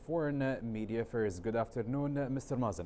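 Speaking at a fairly quick pace, a man has a medium pitch with ordinary pitch variation. His tone is dark and mellow.

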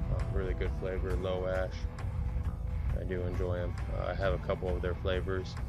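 Over clear background music, a man speaks at a moderate pace. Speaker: home cook reviewer. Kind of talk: casual tutorial vlog. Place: garden. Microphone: phone near.

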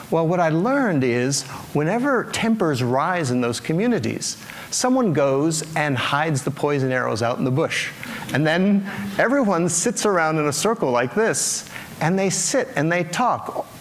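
Light background noise behind a man's voice at a moderate pace. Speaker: conference speaker. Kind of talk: public talk with storytelling. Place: stage. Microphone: lapel.

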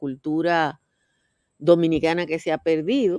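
Dry, echo-free audio of a woman with a fairly low pitch over a quiet background. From Dominican Republic. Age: 60s. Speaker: political commentator. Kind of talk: casual chat. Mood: animated, conversational. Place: garden. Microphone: webcam.

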